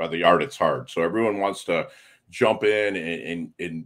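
A man talks in a normal speaking voice at a moderate pace. His pitch sits fairly low. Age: 50s. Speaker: navy veteran and podcaster. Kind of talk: casual chat.

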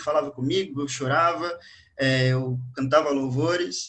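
A man talks at a fairly slow pace. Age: 20s. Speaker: language teacher and church youth leader. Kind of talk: casual religious panel discussion.

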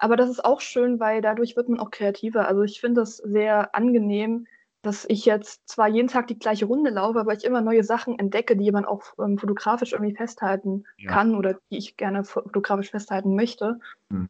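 A woman's fairly high-pitched voice, fairly quick in pace and monotone, flat in intonation. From Germany, Göttingen. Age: young. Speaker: hobby photographer. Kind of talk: casual interview.

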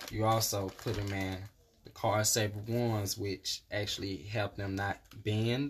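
Speaking at a fairly slow pace, a man uses a fairly low, somewhat breathy voice with fairly even intonation. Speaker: guest. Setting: in studio.

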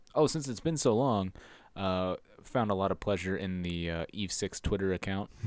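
Speaking at a moderate pace, a man uses lively intonation and a fairly low pitch in an ordinary speaking voice. The recording is very clean with a silent background. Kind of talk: casual chat.

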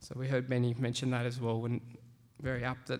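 Speaking in an Australian accent, this man's voice sits at a medium pitch. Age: 30s. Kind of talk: talk to a live audience.

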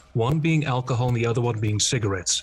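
Music plays in the background while a man talks at a fairly quick pace. His pitch is medium and his intonation lively. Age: 20s. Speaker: podcast host. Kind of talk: casual interview.

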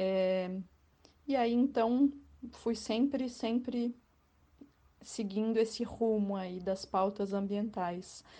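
Against a quiet background, a woman speaks at a very slow pace with long, frequent pauses. Her fairly high pitch has a dark, mellow tone and fairly even intonation. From Florianópolis area, Santa Catarina, Brazil. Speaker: journalist and tour guide. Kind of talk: interview.

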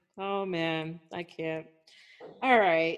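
A woman at a very slow pace against a quiet background. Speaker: podcast host. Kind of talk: casual chat. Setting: video call.

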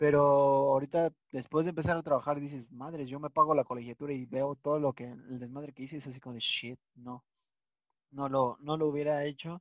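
A man with a Mexican accent talks at a fairly quick pace in a fairly high pitch, his intonation monotone and flat. His loudness swings widely, and the sound is dry and close with no echo. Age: 20s. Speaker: podcast host. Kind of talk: casual chat. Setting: video call.

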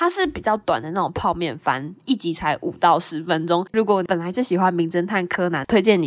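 With a normal speaking voice and a fairly low pitch, a woman talks at a fairly quick pace with ordinary pitch variation and hardly any pauses. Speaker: podcast host. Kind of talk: solo casual monologue telling jokes. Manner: light, giggly.

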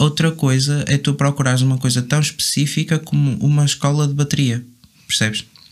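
A man with a fairly high pitch, fairly even intonation and a fairly quick pace, over noticeable background noise. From northern Portugal, Vila Nova de Gaia. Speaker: drummer. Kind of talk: casual chat.

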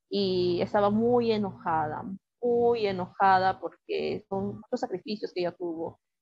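Speaking at a fairly slow pace, a woman with medium pitch and ordinary pitch variation has an unremarkable speaking voice. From Peru, Lima. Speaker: writer. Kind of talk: interview.

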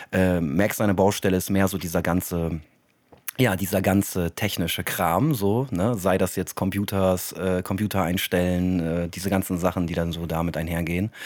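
Very deep and low, this man's voice moves at a moderate pace. His intonation stays fairly even. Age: 30s. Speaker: podcast host and elderly care worker. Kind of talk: casual chat.

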